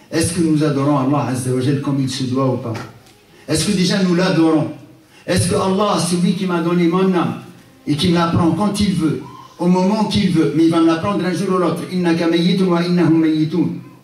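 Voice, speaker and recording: A high-pitched man can be heard with audible room echo and noticeable background noise. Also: ordinary pitch variation, moderate pace. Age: 60s. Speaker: Islamic lecturer. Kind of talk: religious lecture. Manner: animated.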